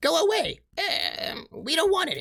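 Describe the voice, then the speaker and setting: A man puts on a character voice at an extremely high pitch, keeping a moderate pace. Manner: curt, dismissive.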